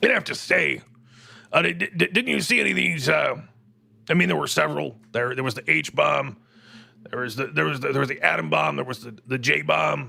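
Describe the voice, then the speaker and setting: Putting on a raspy character voice, a man of medium pitch talks at a fairly quick pace. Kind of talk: talk-radio host comedy. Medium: audio drama. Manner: rambling, digressive, confidently wrong.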